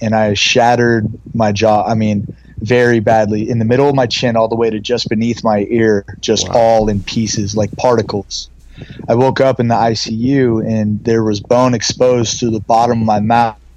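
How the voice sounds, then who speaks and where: Over noticeable background noise, a man with an American accent speaks at a moderate pace in a medium pitch with monotone, flat intonation. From US West Coast (San Francisco Bay Area). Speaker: model, actor and skincare entrepreneur. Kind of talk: casual interview chat.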